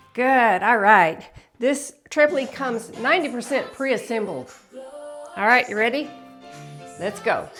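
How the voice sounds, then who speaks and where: A woman speaks in a high, upbeat voice with ordinary pitch variation at a moderate pace. Long, frequent pauses break up her speech over music in the background. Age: 60s. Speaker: fitness instructor. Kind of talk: workout instruction to camera. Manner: upbeat, encouraging.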